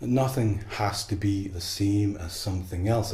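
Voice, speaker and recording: There is audible room echo as a man speaks. He has an Irish accent and a fairly even intonation. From Ireland. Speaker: tarot deck creator and artist. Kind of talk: opinion monologue to camera. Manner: halting, with repeated false starts.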